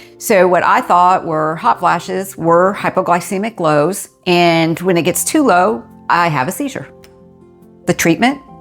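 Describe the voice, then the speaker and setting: Over music in the background, a woman talks at a fairly slow pace in a fairly low pitch. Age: 50s. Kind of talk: personal story to camera. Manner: candid, conversational.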